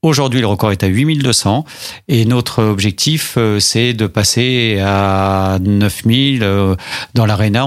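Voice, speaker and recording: A man talks with a fairly low pitch and ordinary pitch variation. His is an ordinary speaking voice. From Paris. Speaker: mayor. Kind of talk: radio interview.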